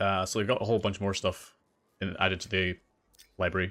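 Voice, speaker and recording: In a Scottish accent, a man with a very deep, low pitch and a bright, sharp tone talks at a very fast pace on a very clean recording with a silent background. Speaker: gaming streamer. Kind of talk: live gameplay commentary. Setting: livestream.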